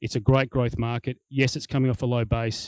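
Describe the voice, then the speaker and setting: With an Australian accent, a man talks very fast at a medium pitch. The sound is dry and close with no echo, in a very clean recording with a silent background. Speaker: business executive. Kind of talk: corporate presentation. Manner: animated.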